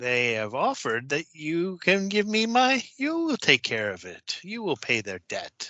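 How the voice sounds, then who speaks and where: Putting on a character voice, a man speaks at a high pitch and a moderate pace with hardly any pauses. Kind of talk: sinister fairy-tale villain. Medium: actual play. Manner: mocking, sing-song, sly.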